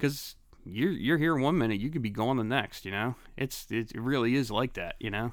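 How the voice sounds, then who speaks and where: A man with a Philadelphia accent speaks at a moderate pace and a medium pitch, with ordinary pitch variation. The recording is very clean, with a silent background. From Philadelphia, Grays Ferry. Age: 40s. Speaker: guest, old school friend. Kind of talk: casual chat.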